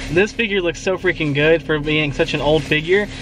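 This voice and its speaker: The man's high-pitched voice shows ordinary pitch variation, with light background noise and a dry sound with no echo. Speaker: toy collector vlogger. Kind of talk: casual vlog chat. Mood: excited, enthusiastic. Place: car. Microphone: phone near.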